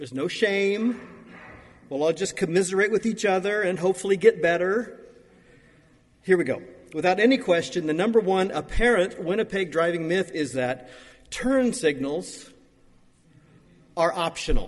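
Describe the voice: Pitched high for a man, this male voice rises and falls with ordinary variation. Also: moderate pace.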